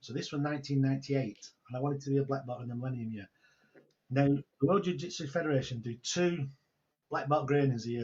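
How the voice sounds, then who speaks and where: Speaking at a very fast pace, a man uses a fairly high, somewhat breathy voice. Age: 60s. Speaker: online entrepreneur and mentor. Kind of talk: interview storytelling. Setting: video call.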